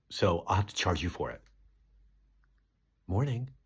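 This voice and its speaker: The tone is animated. Vocal fry runs through the speech. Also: man. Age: 60s. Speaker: comedian. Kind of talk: casual vlog monologue. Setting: B&B room while touring.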